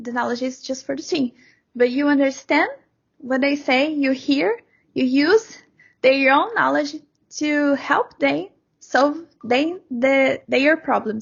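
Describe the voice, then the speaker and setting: A woman speaks with a Brazilian accent at a very slow pace, with long, frequent pauses. Her pitch is high and her pitch variation is ordinary. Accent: Brazilian-accented English, non-native. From Brazil, Sao Paulo. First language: Portuguese. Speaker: software developer. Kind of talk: interview. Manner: halting, frequent repetitions.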